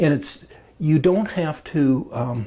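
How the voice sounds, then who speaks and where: A man with a fairly high pitch and a dark, mellow tone speaks in a somewhat breathy voice. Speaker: club member interviewee. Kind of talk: interview. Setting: recorded on camera. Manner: halting, many fillers.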